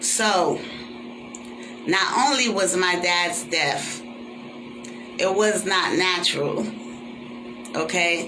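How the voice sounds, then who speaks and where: With very even loudness, a man talks at a very slow pace in a high pitch, leaving long, frequent pauses amid audible room echo and noticeable background noise. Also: lively intonation. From Caribbean. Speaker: vlogger. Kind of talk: personal vlog monologue. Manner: animated.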